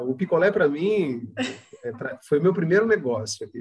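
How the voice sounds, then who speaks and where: His voice is somewhat breathy. The man's intonation is lively. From Santa Catarina, Brazil (Palhoça, near Florianópolis). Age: 50s. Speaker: company founder and director. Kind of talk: interview. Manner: halting.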